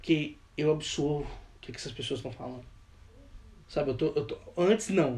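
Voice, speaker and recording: This man's voice sits fairly high, somewhat breathy with a dark, mellow tone, moving at a moderate pace with ordinary pitch variation. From Brazil, Minas Gerais. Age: 20s. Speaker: worship leader and rapper. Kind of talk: casual chat.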